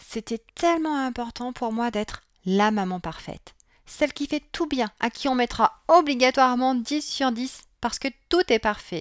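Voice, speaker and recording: In a very clean recording with a silent background and a dry, close sound free of echo, a woman speaks fairly slowly in a high voice with lively intonation. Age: 40s. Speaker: parenting coach and podcast host. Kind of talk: solo podcast monologue.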